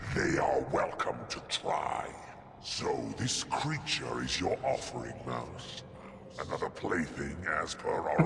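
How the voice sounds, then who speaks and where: A man uses a put-on character voice at a fairly slow pace. There is clear echo and loud background noise. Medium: game stream. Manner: menacing, theatrical.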